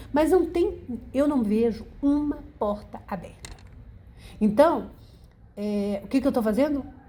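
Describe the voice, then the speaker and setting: A woman with a high pitch and a dark, mellow tone speaks at a fairly slow pace with lively intonation and long, frequent pauses. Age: 60s. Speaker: senior university student. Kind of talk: documentary interview.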